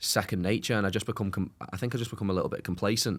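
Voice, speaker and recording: Very fast speech with an English accent and fairly even intonation on a very clean recording, the background silent. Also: man. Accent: English-sounding, Chester-like. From North Wales (Connah's Quay, near English border). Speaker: former goalkeeper and reality TV star. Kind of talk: casual chat.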